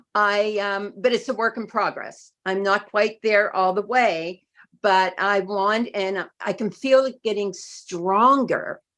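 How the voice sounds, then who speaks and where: A woman with an American accent speaks at a very slow pace with fairly even intonation against a quiet background. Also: medium pitch for a woman, hardly any pauses. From Florida, US. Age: 70s. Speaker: health product user sharing testimonial. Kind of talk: testimony.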